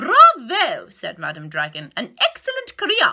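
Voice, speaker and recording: The voice is a put-on character voice that sounds female. It is raised and projected. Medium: read story. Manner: commanding, teacherly.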